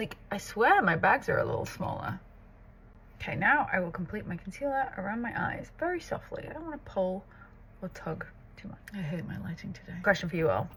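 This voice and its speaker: A woman talks at a fairly quick pace with big swings in loudness. Background noise is noticeable. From northern England, Southport near Liverpool. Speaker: makeup artist and content creator. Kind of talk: casual get-ready-with-me tutorial chat.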